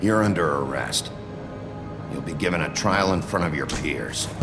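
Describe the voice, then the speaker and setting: Over loud background music, a man uses a put-on character voice pitched very deep and low. He speaks at a moderate pace. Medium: short film. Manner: gruff, terse.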